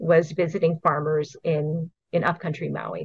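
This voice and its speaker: A woman's somewhat breathy, fairly low-pitched voice at a moderate pace. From Hawaii. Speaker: invasive species program coordinator. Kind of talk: interview.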